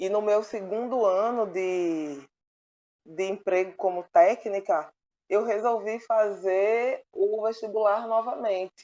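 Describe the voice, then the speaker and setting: A woman speaks with a Pernambuco accent. Her pace is very slow. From Pernambuco, Brazil. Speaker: oceanography doctoral student. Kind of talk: interview answer.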